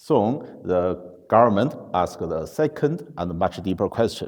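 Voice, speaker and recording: At a very slow pace, a man with a non-native accent speaks in a dark, mellow tone. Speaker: conference speaker. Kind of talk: conference talk. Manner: halting, many fillers.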